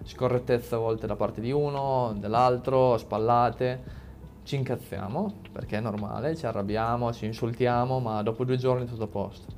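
With music in the background, a man of medium pitch talks at a moderate pace with fairly even intonation. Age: 20s. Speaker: motorcycle racer. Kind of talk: casual chat.

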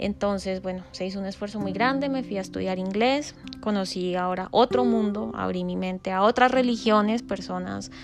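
A woman at medium pitch with a Colombian accent. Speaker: podcast host. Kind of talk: personal monologue. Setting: home recording.

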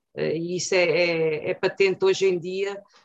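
Her medium-pitched voice is flat and monotone as the woman speaks at a fairly slow pace. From central Portugal (Torres Novas, Ribatejo). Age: 50s. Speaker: lawyer and political candidate. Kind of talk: political interview.

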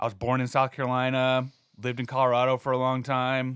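A man talks at a very fast pace. His medium pitch stays monotone and flat. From New Mexico, Albuquerque. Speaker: chef and restaurant owner. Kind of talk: casual chat.

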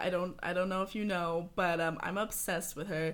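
The speaker has a plain, everyday voice, talking at a fairly quick pace with fairly even intonation. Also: woman. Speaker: photographer. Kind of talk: casual chat.

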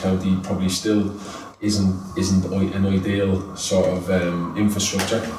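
A man's very deep, low voice in a flat monotone with an Irish accent, with audible room echo and noticeable background noise. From Ireland. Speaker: youth football coach. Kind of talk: interview. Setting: football training ground.

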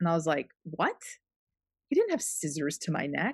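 Against a quiet background, a woman's voice comes across dry and close, with no echo. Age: 40s. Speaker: podcast host. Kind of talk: casual chat.

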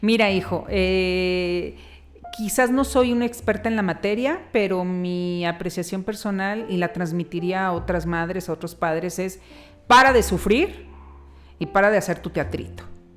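Over music in the background, the speaker goes at a fairly slow pace with ordinary pitch variation. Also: woman, medium pitch for a woman. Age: 50s. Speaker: podcast host's mother. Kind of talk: interview.

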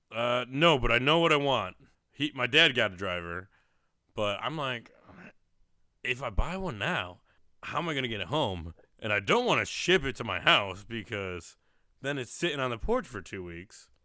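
A man with an American accent, medium in pitch, at a moderate pace, his tone bright and sharp, pitch swinging very widely, with long, frequent pauses, in a very clean recording over a silent background. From Syracuse, New York. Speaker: podcast host. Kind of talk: casual chat. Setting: live show in person, shared room.

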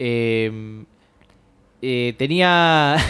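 This man speaks with a Rioplatense accent. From Buenos Aires, Argentina. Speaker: short story writer. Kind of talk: interview.

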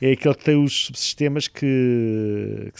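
The recording is very clean with a silent background, its sound dry and close with no echo. The voice shows ordinary pitch variation. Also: man. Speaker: engineering professor, satellite project leader. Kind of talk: interview. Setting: satellite ground station room. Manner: hesitant, many fillers.

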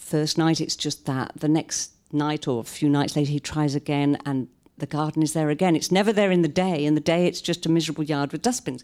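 With a British accent, a woman speaks at a very deep, low pitch and a fairly quick pace, using ordinary pitch variation. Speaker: novelist. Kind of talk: author reading and talk. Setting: live stage with audience at a library.

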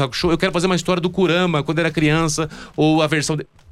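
A man's high-pitched voice. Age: 30s. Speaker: comic project creator. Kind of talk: casual chat.

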